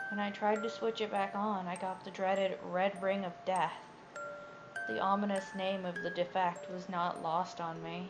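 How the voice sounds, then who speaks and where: A woman talks at a moderate pace, and noticeable background noise can be heard. Her voice is medium-pitched and varies in an ordinary way. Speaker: creepypasta narrator. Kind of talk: horror story reading. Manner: stuttering, some pauses and repeated words.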